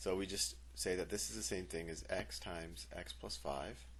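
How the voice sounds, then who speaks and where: Audible room echo surrounds a man who talks at a fairly slow pace, his lively intonation touched with vocal fry. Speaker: math teacher. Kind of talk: tutorial.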